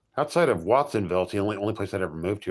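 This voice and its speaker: A man talks with a Los Angeles accent. His pitch is fairly low. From Los Angeles, California. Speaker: livestreamer. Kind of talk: casual chat. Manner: halting, frequent stammers and restarts; precise enunciation.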